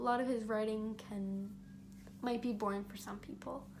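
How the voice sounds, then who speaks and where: With audible room echo and noticeable background noise, a woman speaks in an animated tone at a moderate pace, her fairly high pitch varying in an ordinary way. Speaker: student vlogger. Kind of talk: casual monologue. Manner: animated, some stumbling.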